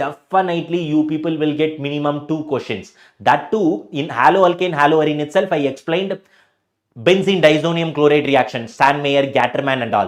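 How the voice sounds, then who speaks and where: In a Tamil accent, a man talks at a moderate pace. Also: fairly high pitch for a man, ordinary pitch variation. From South India, Tamil Nadu. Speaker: chemistry teacher. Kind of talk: live online lecture. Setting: live stream.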